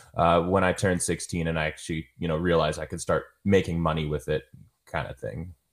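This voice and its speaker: In a very clean recording with a silent background, a man with a very deep, low pitch talks at a very fast pace in a monotone, flat intonation. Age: 20s. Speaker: videographer. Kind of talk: interview. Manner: halting, many repeated words and fillers.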